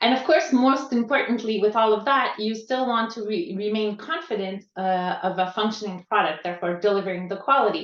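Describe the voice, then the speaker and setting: At a fairly quick pace with hardly any pauses, a woman with a Quebec accent speaks at a fairly high pitch. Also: ordinary pitch variation. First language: French. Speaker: quality assistance coach. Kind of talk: conference talk. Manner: halting, searching for words.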